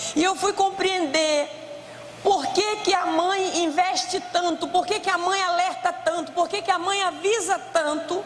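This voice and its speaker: Loud and extremely high-pitched, a woman speaks at a fairly slow pace in a monotone, flat intonation, with audible room echo and noticeable background noise. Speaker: preacher. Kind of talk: sermon.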